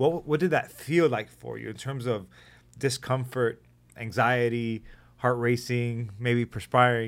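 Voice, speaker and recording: Using a normal speaking voice, a man keeps a medium pitch that varies in an ordinary way. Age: 30s. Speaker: podcast host, nurse, army veteran. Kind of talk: casual interview.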